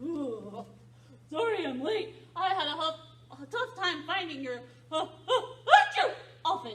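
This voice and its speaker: A cartoonish character voice at an extremely high pitch, fairly slow in pace with long, frequent pauses, over clear background noise. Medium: puppet. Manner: hesitant, stammering.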